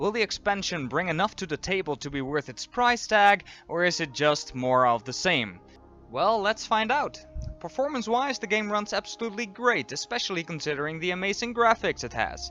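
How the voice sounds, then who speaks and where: With music in the background, a man projects a raised, high voice at a fairly quick pace, his pitch swinging very widely. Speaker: game reviewer. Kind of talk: video game review narration.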